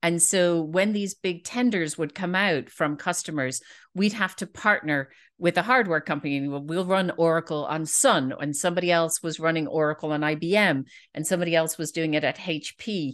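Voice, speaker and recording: Speaking with a Dublin accent, a woman uses a fairly low pitch, ordinary pitch variation and a fairly quick pace. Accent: Dublin Irish. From Ireland, Dublin. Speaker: database product manager. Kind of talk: casual interview chat.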